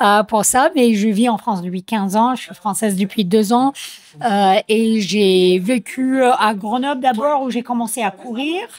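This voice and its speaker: With an American accent, a woman speaks fairly slowly at a fairly high pitch with ordinary pitch variation, over noticeable background noise. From United States. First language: English (speaking French). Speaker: trail runner athlete. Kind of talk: interview. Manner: hesitant, many fillers.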